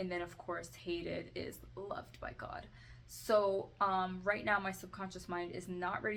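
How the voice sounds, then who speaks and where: Audible room echo follows a woman talking at a moderate pace. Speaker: self-help video creator. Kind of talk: tutorial. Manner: halting; soft-spoken.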